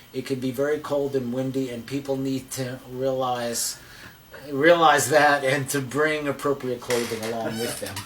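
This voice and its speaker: A man speaks in a monotone with flat intonation. Noticeable background noise sits behind him. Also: medium pitch for a man, moderate pace. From New Jersey, near New York City. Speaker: psychologist, therapist. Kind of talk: interview. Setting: therapist's office.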